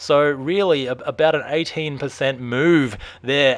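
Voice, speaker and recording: This man has a fairly high pitch and an Australian accent. His pitch varies in an ordinary way. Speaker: stock market commentator. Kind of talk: market analysis video. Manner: casual, filler-heavy.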